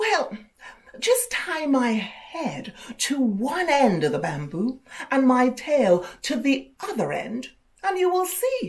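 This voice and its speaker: In a put-on character voice, a woman hisses her words at a high pitch and a fairly slow pace. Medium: read story. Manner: boastful, vain.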